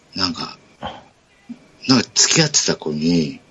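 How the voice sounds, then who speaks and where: With noticeable background noise, a man speaks in a relaxed tone at a moderate pace, his pitch swinging very widely. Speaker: podcast host. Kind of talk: casual chat. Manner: laughs often, relaxed.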